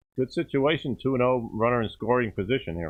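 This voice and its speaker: A man talks at a fairly quick pace with a New York accent. His pitch varies in an ordinary way. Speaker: baseball commentator. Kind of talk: live commentary.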